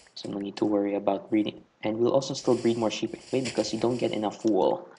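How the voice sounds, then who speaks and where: Noticeable background noise accompanies very fast speech whose pitch varies in an ordinary way. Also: man, medium pitch for a man. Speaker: gaming YouTuber. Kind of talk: casual gameplay commentary. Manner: stutter; halting.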